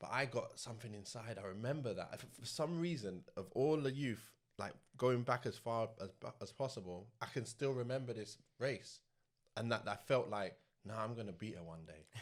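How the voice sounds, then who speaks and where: A man speaks with a southern English accent. His pitch is medium, with ordinary pitch variation. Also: moderate pace. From South London. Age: 40s. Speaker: former professional footballer. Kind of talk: interview storytelling. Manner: casual.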